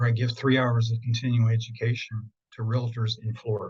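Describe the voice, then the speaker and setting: A man's medium-pitched, somewhat breathy voice with an American accent, flat monotone intonation and a moderate pace. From central Pennsylvania. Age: 70s. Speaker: feng shui consultant. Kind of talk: interview.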